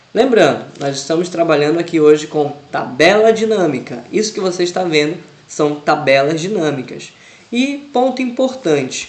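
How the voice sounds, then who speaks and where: Lively intonation from a high-pitched man at a moderate pace, with noticeable background noise and audible room echo. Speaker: Excel teacher. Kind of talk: tutorial.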